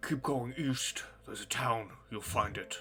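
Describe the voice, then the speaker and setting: Clear music plays in the background. Over it, a man puts on a character voice at medium pitch. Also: moderate pace. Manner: gruff, terse.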